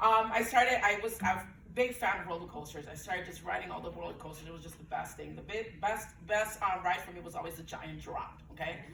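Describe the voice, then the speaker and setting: A woman talks at a very fast pace in a medium pitch. Noticeable background noise and audible room echo surround her voice. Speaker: breastfeeding peer counselor. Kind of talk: panel talk, personal story. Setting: event room with audience, Zoom. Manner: loud; animated.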